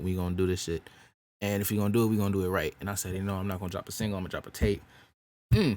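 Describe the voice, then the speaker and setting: A man's fairly low-pitched voice in a very clean recording with a silent background. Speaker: music artist and podcast host. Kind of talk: casual chat. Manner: animated.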